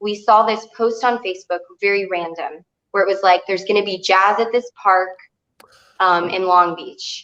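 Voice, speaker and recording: With a slight Texas accent, a woman speaks at a moderate pace in a medium pitch, her tone bright and sharp and her intonation fairly even. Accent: slight Texas twang. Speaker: singer. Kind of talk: casual chat.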